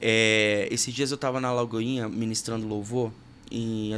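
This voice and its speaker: Monotone, flat intonation from a man, pitched in the medium range. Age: 30s. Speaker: podcast host and worship music producer. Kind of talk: casual interview chat.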